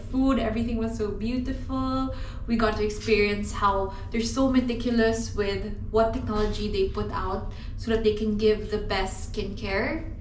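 Audible echo from the room surrounds a woman's voice, along with light background noise. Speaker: vlogger. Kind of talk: casual vlog chat. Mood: grateful, warm. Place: bathroom. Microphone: phone near.

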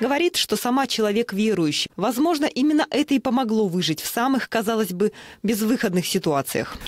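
A man speaks at a high pitch with lively intonation and a fairly quick pace. The sound is dry and close, with no echo. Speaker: news reporter. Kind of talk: TV news voice-over.

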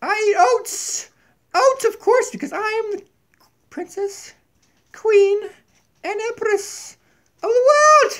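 A man uses a cartoonish character voice at an extremely high pitch. He goes at a fairly slow pace with long, frequent pauses. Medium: puppet. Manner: demanding.

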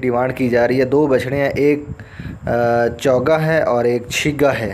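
A man's voice with fairly even intonation over light background noise. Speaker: livestock market vlogger. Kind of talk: casual vlog commentary. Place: market. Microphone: phone near.

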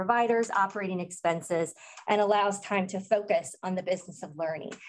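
A woman with an American accent, fairly quick pace and ordinary pitch variation. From US Midwest. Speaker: early childhood program director; presenter. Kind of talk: conference presentation. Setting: stage with audience. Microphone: video call.

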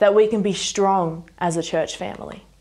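A woman speaks at a moderate pace with ordinary pitch variation. Her tone is dark and mellow, over a quiet background. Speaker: speaker. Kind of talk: sermon. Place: home room.

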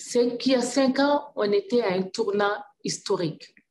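Over noticeable background noise, a woman's high voice moves through very wide pitch swings. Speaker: government minister. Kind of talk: panel discussion. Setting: video call. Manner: passionate. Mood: earnest, thoughtful. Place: office. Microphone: video call.

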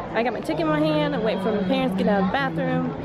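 Crowd noise fills the background as a woman speaks, the sound dry with no echo. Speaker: vlogger. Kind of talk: casual vlog chat. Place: street. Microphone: phone near.

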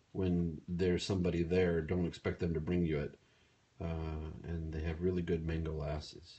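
A man with a very deep, low pitch speaks at a moderate pace, somewhat breathy, with fairly even intonation. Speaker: livestreamer. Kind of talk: casual vlog chat. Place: home room. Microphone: phone near.

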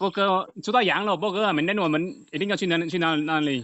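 The man's voice sits high in pitch. It rises and falls in an ordinary way. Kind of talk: casual chat with streamer. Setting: live-stream chat. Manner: stammering, repeats words.

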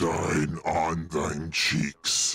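In a put-on character voice, a man growls at a very deep, low pitch with monotone, flat intonation. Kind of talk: archaic, mock-formal. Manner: joking.

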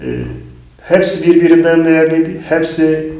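Over music in the background, a man talks at a moderate pace in a monotone, flat intonation. Audible room echo surrounds his voice. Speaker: member of parliament. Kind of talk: interview on politics. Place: studio.

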